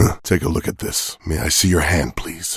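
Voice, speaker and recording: A man puts on a character voice. It is raspy and pitched very deep and low. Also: moderate pace. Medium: video game. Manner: dry, sardonic.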